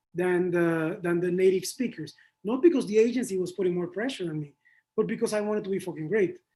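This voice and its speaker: The speech comes at a very fast pace. It is delivered in a Spanish accent. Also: man. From Panama. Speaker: advertising creative. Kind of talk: interview. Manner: animated.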